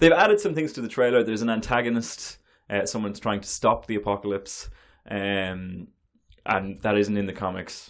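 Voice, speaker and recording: Speaking at a fairly quick pace, a man with a fairly low pitch uses ordinary pitch variation. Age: 20s. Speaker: podcast co-host. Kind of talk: casual chat. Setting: small cold room. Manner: loud.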